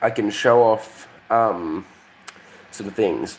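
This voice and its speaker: The pitch of a man's voice varies in an ordinary way, with noticeable noise in the background. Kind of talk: casual live stream chat. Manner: halting, many fillers.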